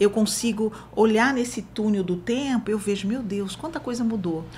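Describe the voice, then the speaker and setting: A woman at a moderate pace, fairly high-pitched, over noticeable background noise. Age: 60s. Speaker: social worker. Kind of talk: interview. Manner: halting.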